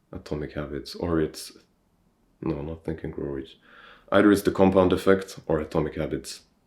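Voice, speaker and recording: A man talks in a very deep, low pitch with fairly even intonation. The recording is very clean, and the background is silent. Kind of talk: casual talk to camera. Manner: slow-paced.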